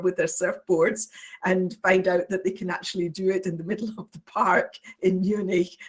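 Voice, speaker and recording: With a Scottish accent, a woman speaks at a moderate pace in a medium pitch, somewhat breathy and with fairly even intonation. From Scotland. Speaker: university international office administrator. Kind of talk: presentation. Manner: hesitant, many fillers.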